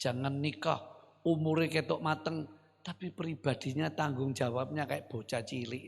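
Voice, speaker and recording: Speaking at a fairly slow pace, a man with a fairly high pitch sounds somewhat breathy and uses ordinary pitch variation. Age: 70s. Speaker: pastor. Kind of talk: sermon. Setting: church. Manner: animated.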